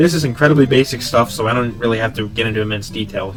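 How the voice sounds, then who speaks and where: A man speaking at a very fast pace with ordinary pitch variation, music playing in the background. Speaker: game reviewer. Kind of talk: video game review narration.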